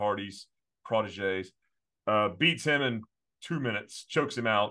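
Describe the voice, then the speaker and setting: A plain, everyday voice from a man at medium pitch, moderately paced. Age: 30s. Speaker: wrestling podcast co-host. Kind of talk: casual chat.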